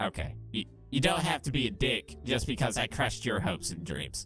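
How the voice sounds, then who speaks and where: Clear music plays in the background as a put-on character voice speaks at a moderate pace. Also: man, medium pitch for a man. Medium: solo performance. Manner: sarcastic, crude, defensive.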